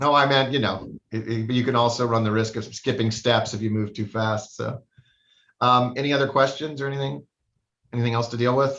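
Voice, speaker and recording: A man's medium-pitched voice at a fairly quick pace, with fairly even intonation. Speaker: judge. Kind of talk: court hearing. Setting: video call. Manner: fast.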